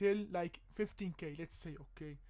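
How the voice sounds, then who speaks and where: A man speaks with a non-native accent. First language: not English. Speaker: crypto and stock commentator. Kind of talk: casual market analysis vlog. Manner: animated, emphatic; hesitant, many fillers.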